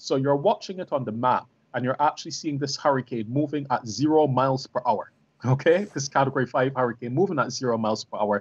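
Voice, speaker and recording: At a very fast pace, a man talks with a fairly high pitch. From Barbados. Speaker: professor. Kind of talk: panel discussion. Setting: video call. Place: home room. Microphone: video call.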